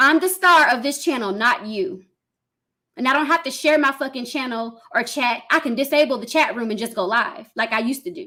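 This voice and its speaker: A woman's high, bright, sharp voice, raised and projected, with lively intonation at a fairly quick pace. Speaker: live streamer. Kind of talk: live stream rant at chat. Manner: loud when passionate; heated, forceful.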